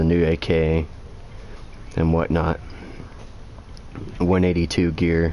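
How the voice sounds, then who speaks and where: A man's very deep, low voice is heard with noticeable background noise. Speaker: video game streamer. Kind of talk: gameplay livestream commentary. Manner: casual, with fillers. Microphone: game audio echo and lag.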